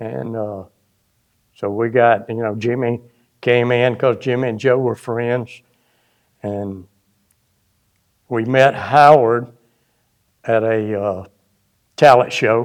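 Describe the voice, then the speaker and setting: A man's medium-pitched, monotone voice at a very slow pace, broken by long, frequent pauses. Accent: South Carolina. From US South, upstate South Carolina. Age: 80s+. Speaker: retired musician, former bassist. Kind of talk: casual interview reminiscence. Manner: halting, many fillers.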